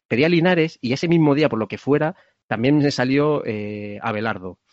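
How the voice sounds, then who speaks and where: A man talks at a fairly quick pace with ordinary pitch variation in a plain, everyday voice. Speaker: podcast host. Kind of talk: casual interview chat. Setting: video call.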